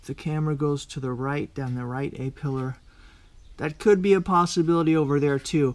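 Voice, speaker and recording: A man is the speaker. The variation in his pitch is ordinary. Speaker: car DIY vlogger. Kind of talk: tutorial. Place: garage. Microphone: phone near.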